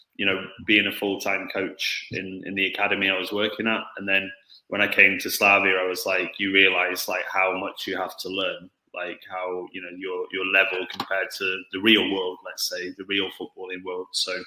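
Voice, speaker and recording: With a British accent, a man with a very deep, low pitch speaks at a moderate pace in monotone, flat intonation. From Stoke-on-Trent, England. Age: 30s. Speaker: football coach. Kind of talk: interview. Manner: hesitant, many fillers.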